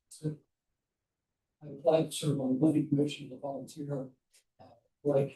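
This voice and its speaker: Somewhat breathy and dark, mellow in tone, a man with a medium pitch speaks at a moderate pace. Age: 70s. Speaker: planning commission applicant, retired mortgage lender. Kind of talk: reading a prepared statement at a council meeting.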